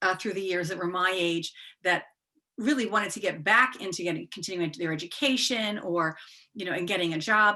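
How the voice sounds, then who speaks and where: A woman with an unremarkable speaking voice talks at a fairly quick pace and a medium pitch with ordinary pitch variation. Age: 60s. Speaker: podcast host. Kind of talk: interview.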